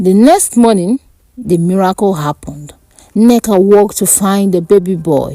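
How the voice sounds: A woman speaks at a fairly slow pace and medium pitch. Her tone is dark and mellow, with lively intonation.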